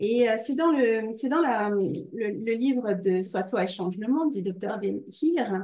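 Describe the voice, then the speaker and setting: Speaking at a very slow pace, a woman uses a fairly high pitch, a dark, mellow tone, and ordinary pitch variation. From Normandy, France. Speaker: podcast host. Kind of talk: casual interview. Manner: hesitant, many fillers.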